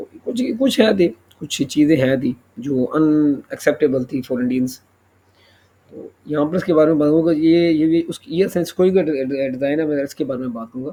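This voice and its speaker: A man speaks at a moderate pace with a fairly high pitch and a dark, mellow tone. His pitch varies in an ordinary way while his loudness swings widely. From Pakistan. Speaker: YouTuber, defence news commentator. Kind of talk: news commentary monologue. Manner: halting, many fillers and self-corrections.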